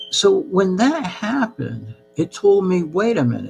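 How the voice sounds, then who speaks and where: A man with an American accent speaks at a very slow pace, his pitch swinging very widely, with noticeable background noise. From US, New Jersey, with childhood years in Peru. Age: 60s. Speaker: channel host. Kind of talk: live-stream monologue. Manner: halting, many fillers.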